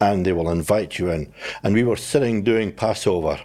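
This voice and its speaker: A man with a very deep, low voice and a Scottish accent, at a moderate pace with ordinary pitch variation, in a very clean recording with a silent background. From Scotland. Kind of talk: casual interview chat.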